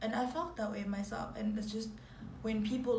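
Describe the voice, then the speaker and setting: A woman talks at moderate speed while noticeable noise and audible room echo surround her voice. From Zimbabwe. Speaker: YouTuber. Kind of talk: casual chat.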